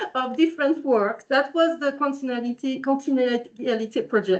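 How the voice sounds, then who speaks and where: Her voice is high, as this woman speaks with a French accent. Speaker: researcher. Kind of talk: conference presentation. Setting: workshop room with in-person and online audience. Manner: halting.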